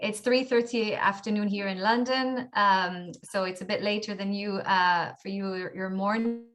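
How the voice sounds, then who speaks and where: Over music in the background, a woman talks at a fairly slow pace with a medium pitch and fairly even intonation. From Israel, Tel Aviv. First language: Hebrew. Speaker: author. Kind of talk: interview. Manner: halting.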